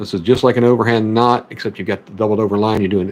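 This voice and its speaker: Here is a man with a fairly low pitch. He speaks with a Southern US accent. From US South, Memphis, Tennessee area. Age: 30s. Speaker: fishing streamer. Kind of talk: tutorial. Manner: casual.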